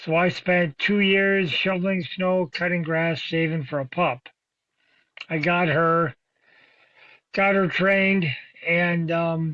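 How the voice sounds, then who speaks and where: A man with an American accent, a high pitch, and a fairly slow pace. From New England (Boston), later Minnesota. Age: 60s. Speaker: bird hunter and dog breeder, army veteran. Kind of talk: podcast interview.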